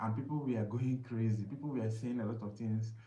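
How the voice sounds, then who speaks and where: Somewhat breathy and dark, mellow in tone, a man speaks at a medium pitch and a moderate pace amid audible room echo. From Nigeria, Imo State. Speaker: live streamer, weight loss vlogger. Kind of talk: casual live stream talk. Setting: live stream. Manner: halting, many fillers.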